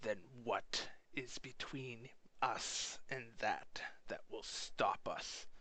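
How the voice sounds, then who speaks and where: A man whispers in a put-on character voice. His pace is very slow. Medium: actual play. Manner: blunt, profane.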